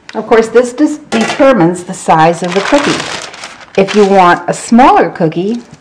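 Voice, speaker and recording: Over noticeable background noise, a woman speaks at a moderate pace with a medium pitch and lively intonation. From Scotland. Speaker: home cook. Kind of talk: cooking demonstration.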